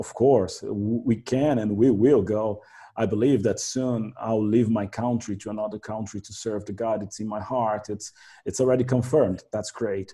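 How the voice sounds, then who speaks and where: A man with a Portuguese accent and fairly low pitch, moderate pace, fairly even intonation and big swings in loudness. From Brazil. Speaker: translator and minister. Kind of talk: casual interview.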